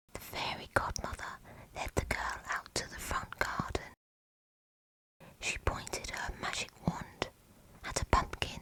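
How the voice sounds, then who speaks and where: A woman whispers. Her pace is fairly slow. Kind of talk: fairy tale bedtime story narration. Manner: whispered; soft, calm, slow.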